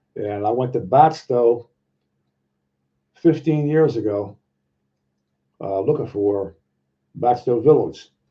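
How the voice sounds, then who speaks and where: The voice is dark and mellow, somewhat breathy, with ordinary pitch variation, a very slow pace and long, frequent pauses. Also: man, medium pitch for a man. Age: 70s. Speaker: Bigfoot researcher and YouTuber. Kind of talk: casual live chat with viewers. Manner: halting, many fillers and repetitions.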